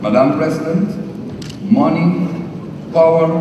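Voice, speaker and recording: The speech moves at a very slow pace, with noticeable background noise and audible room echo. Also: man. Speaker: government minister delegate. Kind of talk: formal speech. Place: hall. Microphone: podium.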